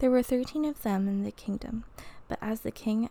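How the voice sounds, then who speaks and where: This woman has a fairly high voice with a dark, mellow tone. It comes across as somewhat breathy. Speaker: podcast co-host. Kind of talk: bedtime story reading. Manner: warm, measured, storyteller cadence.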